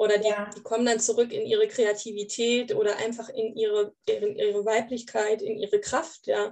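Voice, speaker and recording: A woman at a moderate pace with hardly any pauses. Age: 30s. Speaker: grief counselor. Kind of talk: casual interview.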